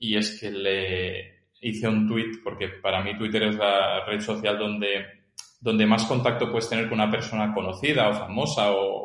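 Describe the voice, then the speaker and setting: Moderate pace and medium pitch from a man, with audible room echo around the voice. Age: 30s. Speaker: filmmaker and tennis coach. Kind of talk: casual interview.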